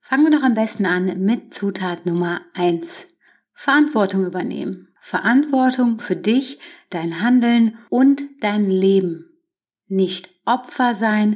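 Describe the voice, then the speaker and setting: Speaking at a very slow pace, a woman uses lively intonation. Her pitch sits in the medium range. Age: 30s. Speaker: podcast host. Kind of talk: solo self-help monologue.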